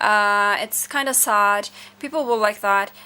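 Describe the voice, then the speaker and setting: A woman speaks with a non-native accent at a fairly high pitch. Her tone is bright and sharp. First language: not English. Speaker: music video reviewer. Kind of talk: casual review monologue. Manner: hesitant, many fillers.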